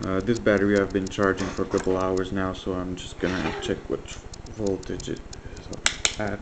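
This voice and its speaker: Over noticeable background noise, a man with a very deep, low voice speaks at a moderate pace in a flat monotone. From French Canada. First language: French. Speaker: electronics hobbyist. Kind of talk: tutorial. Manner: hesitant, many fillers.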